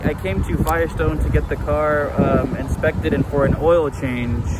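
The sound is dry with no echo as a man talks at a fairly slow pace over loud background noise. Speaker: vlogger. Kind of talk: casual vlog chat. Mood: playful, joking. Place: street. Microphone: phone near.

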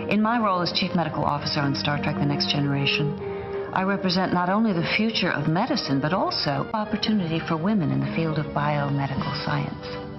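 A woman talks at a very fast pace while clear music plays in the background. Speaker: actress. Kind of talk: public service announcement, informative spokesperson read. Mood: calm, informative, encouraging. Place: studio. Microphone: lapel.

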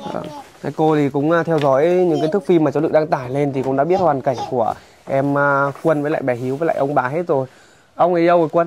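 Very fast speech with fairly even intonation, over noticeable background noise. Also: man, fairly high pitch for a man. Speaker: charity vlogger. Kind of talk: casual chat.

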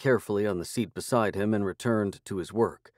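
The intonation is fairly even. It is an unforced reading voice.

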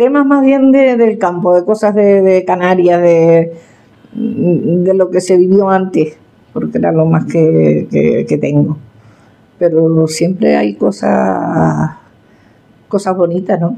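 Here a woman talks at a very slow pace. Her loudness stays very even. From Tenerife, Canary Islands. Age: 70s. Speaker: farmer and folk poet. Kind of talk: interview answer. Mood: warm, reflective. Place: kitchen.

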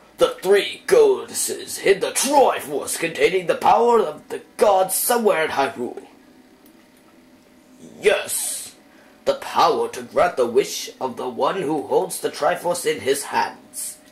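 At a fairly slow pace, a man speaks in a put-on character voice. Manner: dramatic, storytelling.

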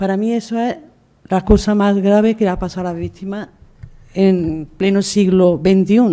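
A woman speaks with a dark, mellow tone and fairly even intonation. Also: moderate pace. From Spain. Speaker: memory movement activist. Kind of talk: testimony. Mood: earnest, emotional testimony. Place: hall. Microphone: podium.

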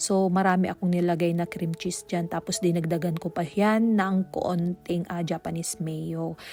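With a Pangasinan accent, a woman speaks at a moderate pace with hardly any pauses, her fairly low pitch and dark, mellow tone held in monotone, flat intonation on a very clean recording with a silent background. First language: Pangasinan (speaking Tagalog). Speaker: cooking vlogger. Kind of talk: cooking tutorial voice-over. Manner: halting.

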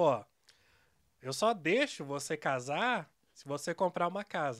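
A man's high pitch with very wide pitch swings, at a fairly slow pace over a quiet background. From Curitiba, Brazil; Brazil. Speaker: software developer and news site co-owner; news site co-owner. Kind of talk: casual interview. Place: studio. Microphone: studio mic.

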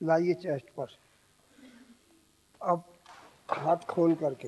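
Over light background noise, a man speaks in a high pitch. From India. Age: 80s+. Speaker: yoga instructor. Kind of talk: yoga class instruction. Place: stage. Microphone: handheld.

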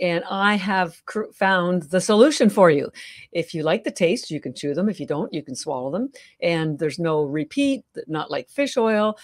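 A woman with a Canadian accent uses a plain, everyday voice, fairly low in pitch, with lively intonation at a moderate pace over a quiet background. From Canada. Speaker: health entrepreneur; podcast guest. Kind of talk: interview. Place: home room. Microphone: video call.

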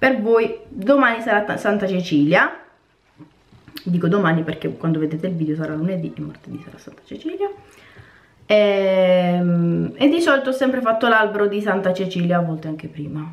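A woman speaks at a moderate pace in a medium pitch, her intonation lively. Her loudness swings widely, and she takes long, frequent pauses. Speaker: cooking and lifestyle vlogger; vlogger. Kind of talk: casual vlog chat to camera. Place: home room. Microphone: phone near.

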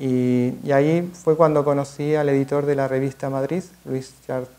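A man's dark, mellow tone in a monotone, flat intonation at a fairly slow pace. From Argentina, Mar del Plata. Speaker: photographer / artist. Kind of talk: masterclass talk. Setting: museum event with audience. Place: classroom. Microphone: podium.

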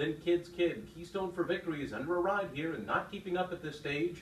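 A man speaks at a moderate pace with a fairly high pitch. The room echo is audible, along with light background noise. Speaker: horse race caller. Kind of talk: live horse race call. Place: booth.

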